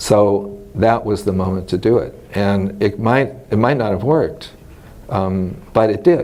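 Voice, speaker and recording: Speaking fairly slowly, a man with a Californian accent has a fairly low pitch. His pitch varies in an ordinary way. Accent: General American (Californian). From US West, Los Angeles. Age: 60s. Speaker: retired mycology professor. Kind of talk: oral history interview. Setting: scientific conference. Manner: conversational, with many fillers.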